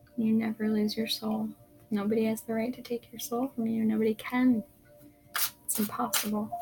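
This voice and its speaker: A soft-spoken woman, fairly high in pitch, with a calm tone, monotone, flat intonation and long, frequent pauses over music in the background. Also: moderate pace. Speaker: tarot reader. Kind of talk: tarot reading. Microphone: poor sound quality.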